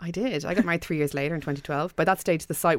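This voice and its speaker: A woman with an Irish accent talks very fast with ordinary pitch variation on a very clean recording with a silent background. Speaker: website co-founder. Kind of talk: interview.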